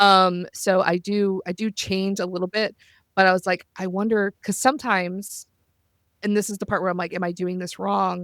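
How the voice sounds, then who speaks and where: In a very clean recording with a silent background, a woman with an American accent speaks in a monotone, flat intonation at medium pitch, the sound dry and close with no echo. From US South. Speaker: podcast host and roleplay player. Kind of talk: casual chat. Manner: fast.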